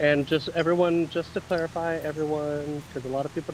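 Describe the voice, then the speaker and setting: A man with a fairly high voice speaks fairly quickly amid noticeable background noise. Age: 30s. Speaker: pageant judge, former drag performer. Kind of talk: audition interview questions.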